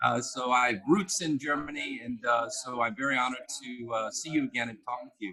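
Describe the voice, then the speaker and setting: A man's plain, everyday voice with an American accent, medium in pitch with ordinary pitch variation, at a fairly quick pace with hardly any pauses and big swings in loudness. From United States. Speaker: business consultant and keynote speaker. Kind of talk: interview.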